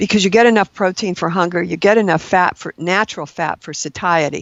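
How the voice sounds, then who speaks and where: A woman's unremarkable speaking voice at a medium pitch, with fairly even intonation. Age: 60s. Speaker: registered nurse and keto diet expert. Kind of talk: podcast interview.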